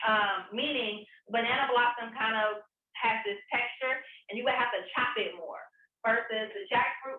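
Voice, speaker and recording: Speaking with a slight Southern US accent, a woman keeps a moderate pace. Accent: slight Southern country. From US South, Atlanta. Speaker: vegan chef. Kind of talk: cooking demonstration. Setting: on camera, recorded demo. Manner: casual, chatty.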